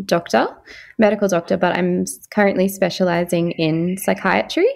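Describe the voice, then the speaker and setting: A woman with an Australian accent on a very clean recording with a silent background. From Far North Queensland, Australia. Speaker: psychiatry trainee doctor. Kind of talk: interview.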